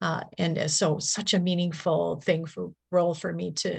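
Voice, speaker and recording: A woman speaks with a very deep, low pitch and an American accent. Her voice has vocal fry. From Milwaukee, Wisconsin, US Upper Midwest. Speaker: nurse in addiction recovery. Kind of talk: interview testimony.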